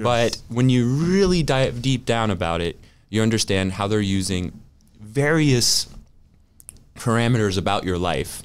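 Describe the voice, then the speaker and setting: A man's speech shows ordinary pitch variation and moves at a moderate pace. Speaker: digital privacy and safety expert. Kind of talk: interview conversation. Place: studio. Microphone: studio mic.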